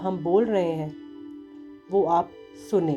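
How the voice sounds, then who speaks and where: Over music in the background, a woman speaks in a fairly low pitch. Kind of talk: spoken introduction to an affirmation recording.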